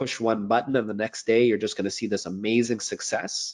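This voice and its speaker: A man speaks with a Canadian accent in an unremarkable speaking voice. The background is quiet. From Montreal, Canada. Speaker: accountant and business coach. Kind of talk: interview.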